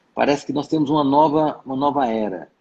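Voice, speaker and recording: A man talks at a moderate pace with lively intonation. His voice is fairly high, with a dark, mellow tone. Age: 60s. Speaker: emerald dealer. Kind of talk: interview. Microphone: unstable internet connection.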